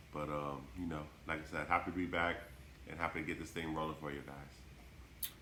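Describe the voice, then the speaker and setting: A man with a very deep, low voice speaks at a fairly quick pace in a monotone, flat delivery, with audible room echo. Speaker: podcast co-host, coach. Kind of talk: casual sports podcast chat.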